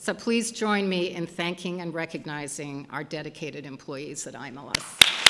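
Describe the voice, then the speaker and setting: Over noticeable background noise, a woman with a fairly low pitch and ordinary pitch variation talks at a fairly slow pace with hardly any pauses, her loudness swinging widely. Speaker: institute director. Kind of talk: ceremonial speech. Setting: stage with audience. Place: hall. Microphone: podium.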